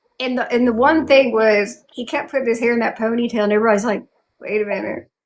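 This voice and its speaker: Talking at a very fast pace, a woman with a fairly high voice speaks in a strong Southern accent. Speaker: YouTube fantasy channel host and cosplayer. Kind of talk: casual interview chat. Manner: animated, many fillers.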